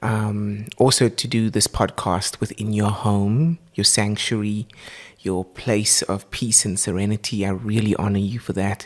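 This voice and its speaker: In a South African accent, a man speaks with a fairly low pitch. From South Africa, Port Elizabeth. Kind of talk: casual interview. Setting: home recording.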